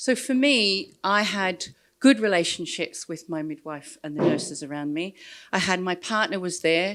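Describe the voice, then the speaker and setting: The speaker has an Australian accent, captured in a very clean recording with a silent background. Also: woman, medium pitch for a woman, lively intonation, moderate pace. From Australia, rural New South Wales. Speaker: social work researcher. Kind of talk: conference talk. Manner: hesitant, many fillers.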